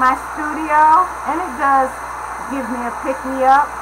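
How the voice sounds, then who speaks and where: In a room with audible echo and noticeable background noise, a woman speaks at a high pitch and a fairly slow pace with ordinary pitch variation. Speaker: mixed-media artist. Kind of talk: live art tutorial. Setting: home studio, live stream. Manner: soft-spoken.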